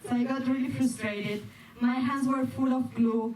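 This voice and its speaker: A woman speaks in a high pitch with a Spanish accent, at a fairly slow pace and in a monotone, flat intonation. Audible room echo and noticeable background noise fill the recording. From Spain. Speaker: performer, dancer and stand-up comedian. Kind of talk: stand-up. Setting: stage with audience. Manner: halting, with self-corrections.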